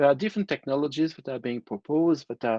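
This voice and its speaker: Against a quiet background, a man speaks with a non-native accent. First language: not English. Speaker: internet technology expert, panelist. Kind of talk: panel discussion.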